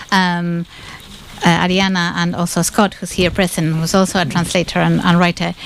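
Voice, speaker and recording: The speech moves at a moderate pace in a monotone, flat intonation, with noticeable background noise. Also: woman, fairly low pitch for a woman. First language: Spanish. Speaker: literary translator. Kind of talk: panel discussion with live interpreting. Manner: halting, many fillers and restarts.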